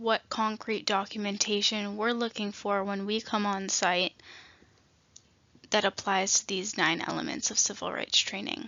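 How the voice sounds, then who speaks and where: A woman speaks at a fairly slow pace in a fairly high, shaky voice. Her intonation stays fairly even. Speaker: state nutrition program trainer. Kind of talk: training presentation.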